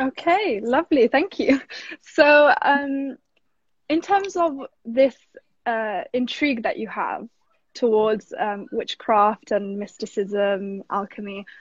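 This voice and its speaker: Against a quiet background, a woman with a fairly high pitch talks at a fairly slow pace in a normal speaking voice, her intonation lively and the sound dry and close with no echo. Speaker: art talk host. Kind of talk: casual interview chat. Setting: live stream video call.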